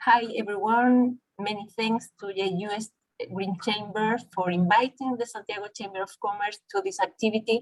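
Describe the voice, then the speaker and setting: With a Spanish accent, a woman talks at a moderate pace in a medium pitch, her intonation fairly even. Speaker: chamber of commerce representative. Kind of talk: webinar presentation.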